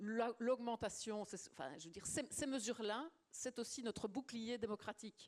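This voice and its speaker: This woman's voice sits fairly high, with ordinary pitch variation. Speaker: politician, former trade unionist. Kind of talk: panel discussion. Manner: hesitant, many fillers and repetitions.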